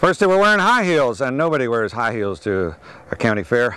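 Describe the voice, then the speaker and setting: Very wide pitch swings from a man at medium pitch, moving at a moderate pace. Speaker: farmer and stand-up comedian. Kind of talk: stand-up comedy set with farm humour.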